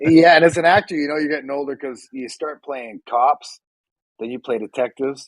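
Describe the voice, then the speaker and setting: In a Canadian accent, a man talks at a fairly quick pace with a fairly high pitch, ordinary pitch variation, big swings in loudness, and a plain, everyday voice, recorded dry and close with no echo. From Canada, Vancouver. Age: 50s. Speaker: actor. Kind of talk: casual chat.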